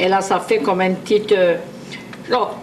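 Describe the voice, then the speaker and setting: A woman with a Cajun accent talks at a moderate pace over noticeable background noise. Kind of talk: cooking instructions to camera. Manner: casual, chatty.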